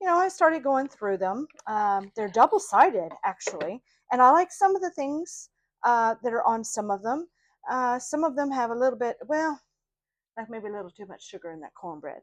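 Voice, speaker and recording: An American accent with big swings in loudness and very wide pitch swings. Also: woman, high pitch for a woman, moderate pace, dry, close sound with no echo. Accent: Idaho accent affected by South Louisiana. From Idaho. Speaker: craft vlogger. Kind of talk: casual show-and-tell vlog. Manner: hesitant, many fillers.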